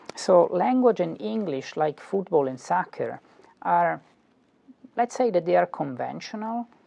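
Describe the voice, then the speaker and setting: With an Italian accent, a man talks at a moderate pace in a dry, close sound with no echo. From Italy. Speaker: philosophy professor. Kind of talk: lecture. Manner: halting, frequent fillers and repetitions.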